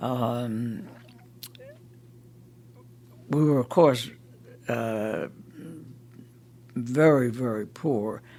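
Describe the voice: A man with an American accent, a dark, mellow tone, ordinary pitch variation, a very slow pace and long, frequent pauses. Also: medium pitch for a man.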